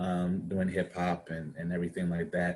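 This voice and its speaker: A man in an American accent talks at a moderate speed, his pitch very deep and low. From Washington DC area (Prince George's County, Maryland). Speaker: actor. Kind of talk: interview.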